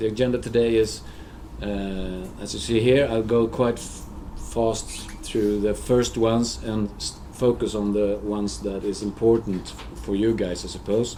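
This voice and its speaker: With a Swedish accent, a man talks at a moderate pace with fairly even intonation amid audible room echo. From Sweden. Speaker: social care alarm coordinator. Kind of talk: conference presentation. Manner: halting.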